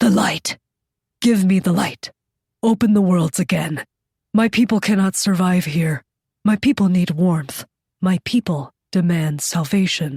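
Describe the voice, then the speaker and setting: In a put-on character voice, a woman speaks at a medium pitch and moderate pace. Long pauses come often. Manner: demanding, desperate.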